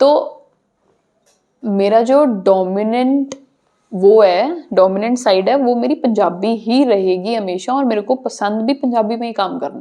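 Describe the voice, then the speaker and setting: A woman with a Punjabi accent speaks in a fairly high voice with a dark, mellow tone. Her pitch varies in an ordinary way while her loudness swings widely. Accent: Punjabi accent in Hindi. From Punjab, India. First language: Punjabi (speaking Hindi). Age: young. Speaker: social media content creator. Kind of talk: podcast interview.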